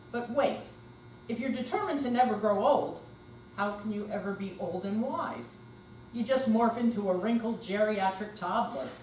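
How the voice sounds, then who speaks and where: A woman at a moderate pace, with ordinary pitch variation, long, frequent pauses and noticeable background noise. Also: fairly high pitch for a woman. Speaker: amateur actor. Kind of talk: readers theater performance.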